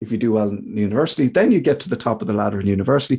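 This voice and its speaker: With an Irish accent and lively intonation, a man speaks at a very fast pace against a quiet background. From Ireland. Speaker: radio DJ and comedian. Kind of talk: casual interview.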